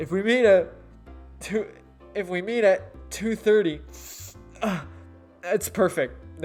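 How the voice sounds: Using a nasal, put-on character voice at middle pitch, the speaker goes at a fairly slow pace with long, frequent pauses while music plays in the background.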